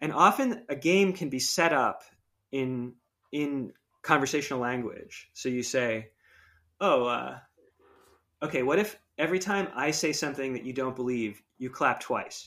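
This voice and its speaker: On a very clean recording with a silent background, a man with a fairly high pitch and a bright, sharp tone talks at a moderate pace with ordinary pitch variation and long, frequent pauses. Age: 40s. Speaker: technology ethics researcher and designer. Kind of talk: casual interview.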